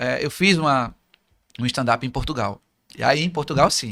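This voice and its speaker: This voice belongs to a man. It sounds bright and sharp. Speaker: motivational speaker. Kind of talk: interview. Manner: fast.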